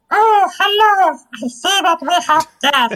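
Squeaky and at an extremely high pitch, this put-on character voice moves at a fairly slow pace. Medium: actual play. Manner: welcoming, gracious.

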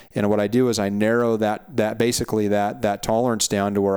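This man talks at a fairly quick pace in a flat monotone with an American accent, his pitch fairly low, on a very clean recording with a silent background. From Montana. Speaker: hunting podcast host. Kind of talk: casual interview chat.

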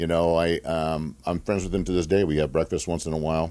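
A man's very deep, low voice with a dark, mellow tone, at a fairly quick pace, in a very clean recording with a silent background. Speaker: former NFL player, nonprofit founder. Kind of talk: casual interview. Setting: studio.

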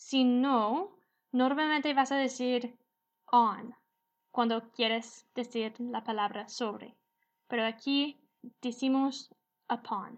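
A woman with a high pitch speaks in an English accent at a very slow pace, with long, frequent pauses. Her intonation is fairly even, and the background is quiet. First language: English (speaking Spanish). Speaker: English teacher podcast host. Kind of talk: language lesson.

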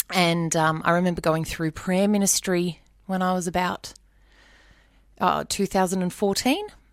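A woman with an Australian accent speaks at a medium pitch in a flat monotone. Her speech is broken by long, frequent pauses. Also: moderate pace, very clean recording, silent background. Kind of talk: testimony.

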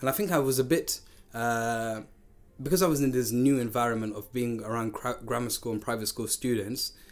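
A man speaks at medium pitch and a fairly quick pace, keeping his intonation fairly even.

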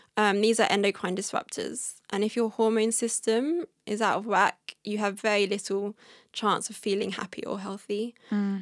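In an ordinary speaking voice, a woman talks at a moderate pace and a fairly high pitch on a very clean recording with a silent background. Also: dry, close sound with no echo. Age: 30s. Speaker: wellness blogger on toxin-free living. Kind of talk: casual interview chat. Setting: in person.

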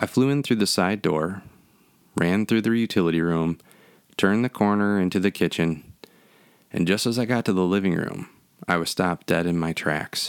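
In a dramatic tone, a man with a very deep, low voice speaks at a moderate pace with ordinary pitch variation and long, frequent pauses. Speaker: horror podcaster. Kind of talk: horror narration, spooky storytelling. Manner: dramatic, eerie.

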